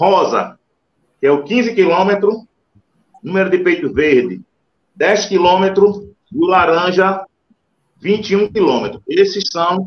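The speaker is a man with a high voice. Ordinary variation runs through his pitch. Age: 50s. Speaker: race organizer and runner. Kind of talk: casual chat.

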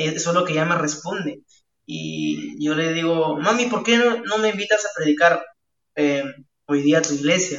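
This man talks at a moderate pace. His pitch is fairly high, with ordinary variation. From Peru, La Libertad (Chicama, Trujillo). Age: 20s. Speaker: evangelist and singer-songwriter. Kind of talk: interview.

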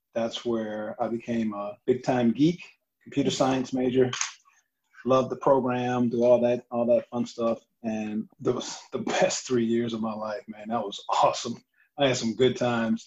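A man's normal speaking voice at a medium pitch, fairly even in intonation and fairly slow in pace. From Michigan (Saginaw). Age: 50s. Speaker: fitness coach. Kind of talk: casual chat.

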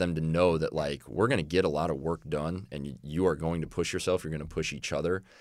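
A man with an American accent talks at a fairly quick pace, with hardly any pauses and fairly even intonation. His very deep, low voice carries vocal fry in a very clean recording with a silent background. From Illinois. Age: 20s. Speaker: college strength and conditioning coach. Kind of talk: podcast interview.

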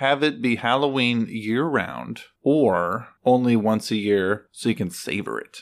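A man at medium pitch talks at a fairly slow pace with hardly any pauses. His pitch variation is ordinary. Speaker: host's partner. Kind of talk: casual chat.

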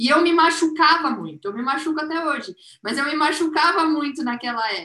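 A woman's high-pitched, raised and projected voice with lively intonation. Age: 20s. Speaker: business manager. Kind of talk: casual chat.

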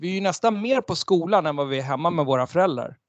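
Against a quiet background, a man talks at a very fast pace. His voice is high-pitched, with lively intonation. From Sweden. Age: 40s. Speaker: entrepreneur and author. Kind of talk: interview. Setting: video call.

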